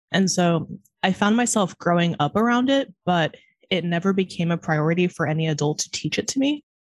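Fairly low in pitch, a woman talks at a fairly quick pace with lively intonation. Her loudness stays very even. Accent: American. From California. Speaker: podcast host. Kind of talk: casual chat. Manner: fast talker.

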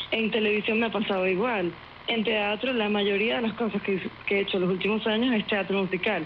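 A woman with a Venezuelan accent speaks at a medium pitch and a fairly quick pace. Her loudness stays very even, her intonation fairly even, and there is noticeable background noise. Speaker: actress and singer. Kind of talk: interview.

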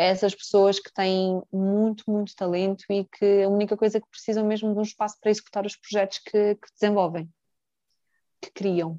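A woman speaks at medium pitch with a dark, mellow tone. The sound is dry and close, with no echo. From Mozambique, Brazilian family. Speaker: brand manager and company director. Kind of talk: casual interview chat. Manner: animated.

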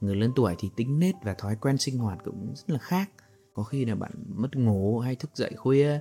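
This man has a normal speaking voice at medium pitch. His intonation is lively. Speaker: podcast host and storyteller. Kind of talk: story narration with commentary. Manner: slow, calm.

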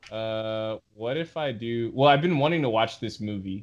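An ordinary speaking voice from a man, fairly low in pitch with ordinary pitch variation, against a quiet background. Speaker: podcast host. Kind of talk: casual chat. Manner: joking, playful.

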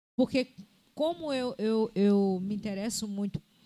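A woman's dark, mellow tone at medium pitch, delivered at a fairly slow pace. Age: 60s. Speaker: podcast co-host, former teacher and psychology student. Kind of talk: casual chat.

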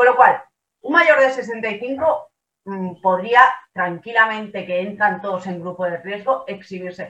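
Here a woman has a bright, sharp tone and a fairly high pitch. She speaks at a fairly slow pace. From Badalona, Catalonia. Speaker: lawyer, political panelist. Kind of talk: panel discussion.

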